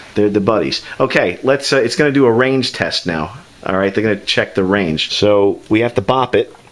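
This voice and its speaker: With lively intonation, a man speaks at a moderate pace over noticeable background noise. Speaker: YouTube tech reviewer. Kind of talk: casual joking talk while filming.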